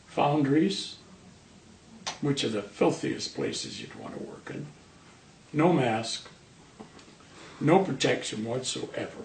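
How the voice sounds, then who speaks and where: A man's fairly high voice with lively intonation and big swings in loudness, at a very slow pace with long, frequent pauses, over noticeable background noise with audible room echo. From northern England, Manchester. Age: 70s. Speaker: cancer patient, retired sheet metal worker. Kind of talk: interview.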